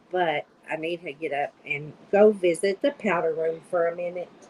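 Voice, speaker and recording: A woman with a Kentucky accent speaks at a moderate pace. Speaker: diamond painting hobbyist. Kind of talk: casual chat.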